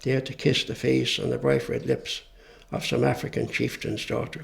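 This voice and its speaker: Speaking at a moderate pace, a man talks with an Irish accent. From Ireland. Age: 70s. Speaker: poet. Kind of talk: poetry reading.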